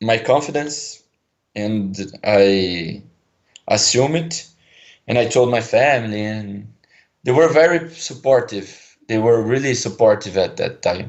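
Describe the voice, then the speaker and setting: With a Brazilian accent, a man speaks at a fairly slow pace, leaving long, frequent pauses. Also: medium pitch for a man, ordinary pitch variation. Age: 20s. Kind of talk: caller on a call-in show. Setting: phone line. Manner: hesitant.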